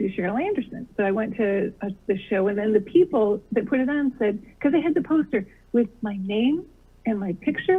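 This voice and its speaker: Here is a woman with an ordinary speaking voice, pitched fairly high. Her intonation is lively. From US Midwest. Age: 60s. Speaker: comedian. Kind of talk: interview.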